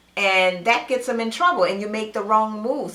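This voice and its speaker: A woman speaks in an animated tone with ordinary pitch variation. Noticeable background noise and audible room echo are present. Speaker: reality TV commentator. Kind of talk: solo video commentary.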